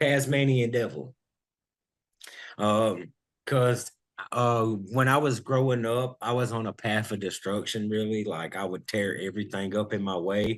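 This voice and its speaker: This man has a Southern US accent and a fairly low pitch. He speaks at a fairly slow pace. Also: ordinary pitch variation. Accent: Southern US (Georgia). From US South, Georgia (Vidalia). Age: 30s. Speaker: hip hop and R&B artist, contestant. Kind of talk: interview. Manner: halting.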